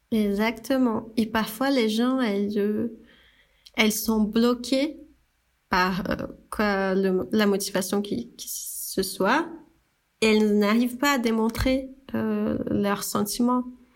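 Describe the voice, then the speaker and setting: A woman with a fairly high pitch and fairly even intonation, very slow pace, and long, frequent pauses. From Brazil. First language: Portuguese (speaking French). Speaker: graphic designer and brand founder. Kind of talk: casual chat. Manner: halting.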